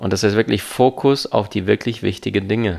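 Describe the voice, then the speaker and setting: The speaker uses vocal fry at a moderate pace. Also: man. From abroad, came to Germany at twelve. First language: not German (speaking German). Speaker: seminar speaker and life coach. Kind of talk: interview. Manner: fluent with frequent fillers.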